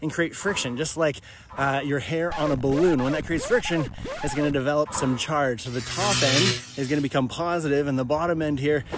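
The recording of this man is dry with no echo but carries noticeable background noise. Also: fairly quick pace. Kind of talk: casual explainer vlog. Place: open country. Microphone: phone near.

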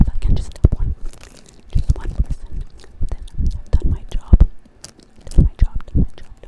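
A woman whispering at a moderate pace. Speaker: ASMR creator. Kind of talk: personal talk to viewers. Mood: earnest, confessional. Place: home room. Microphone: studio mic.

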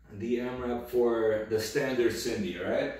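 There is strong room echo around the voice. A man speaks at a fairly slow pace. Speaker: fitness coach. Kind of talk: tutorial. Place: empty room. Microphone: camera far.

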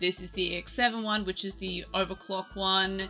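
A woman speaks at a moderate pace in a flat, monotone way, with faint music in the background. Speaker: card game content creator. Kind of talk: commentary on a deck list.

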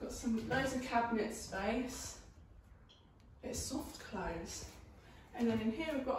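A woman's high-pitched voice at a very slow pace, fairly even in intonation, with audible room echo and light background noise. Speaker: new homeowner vlogger. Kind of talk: casual vlog chat. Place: empty room. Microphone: camera far.

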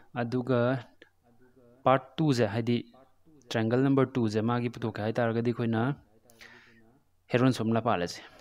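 A man at a medium pitch, monotone and flat, with long, frequent pauses. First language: Meitei (Manipuri) (speaking Hindi). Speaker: math tutor. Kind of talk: lecture.

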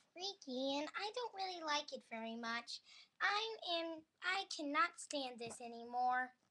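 This cartoonish character voice sits at a high pitch and keeps a fairly slow pace. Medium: puppet show. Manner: excitable, vain, whiny.

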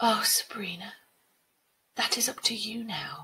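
Using a put-on character voice, a woman speaks at a medium pitch and a fairly slow pace, her tone bright and sharp with a husky, rough edge and lively intonation.

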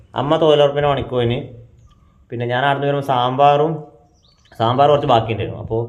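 The intonation stays fairly even. Audible echo fills the room. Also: man, fairly high pitch for a man. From Kerala, Kannur. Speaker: family vlogger. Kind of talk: casual vlog talk to camera. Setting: at home.

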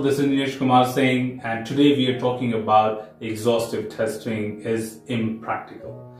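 A man speaks at a moderate pace with audible room echo. Faint music plays in the background. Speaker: software testing educator. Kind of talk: lecture. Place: home room.

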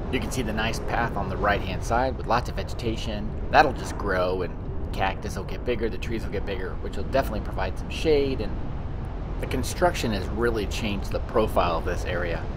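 Over noticeable noise in the background, a man delivers his words fairly quickly. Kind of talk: casual driving commentary. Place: car.

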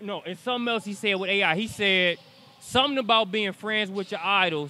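A man talks at a fairly quick pace in a high voice. His pitch varies in an ordinary way, and the sound is dry with no echo. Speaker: sports interviewer. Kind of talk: interview questions, casual banter. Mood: playful, joking. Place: hall. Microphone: handheld.

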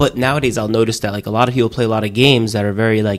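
Speaking at a very fast pace, a man keeps his fairly low pitch in fairly even intonation.

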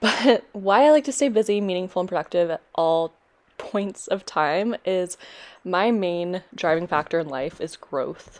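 A woman speaks at a fairly slow pace in a normal speaking voice. Her pitch is medium and her intonation lively. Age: 20s. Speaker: teacher and fitness vlogger. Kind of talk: casual vlog. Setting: outdoors on a walk with dog.

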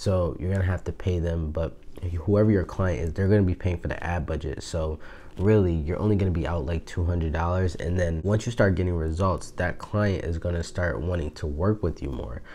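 A soft-spoken man with a very deep, low pitch, dark and mellow in tone, somewhat breathy, at a fairly quick pace with ordinary pitch variation. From Buffalo, New York. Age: 20s. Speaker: online business YouTuber. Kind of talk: casual talk to camera. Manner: soft-spoken, hushed. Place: home room. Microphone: lapel.

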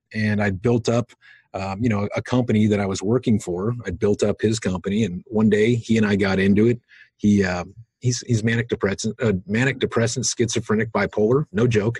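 A man speaks fairly quickly at a fairly low pitch, somewhat breathy with fairly even intonation, in a dry sound with no echo and a quiet background. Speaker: crypto wallet company founder; guest. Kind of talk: podcast interview. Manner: hesitant, many fillers. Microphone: video call.

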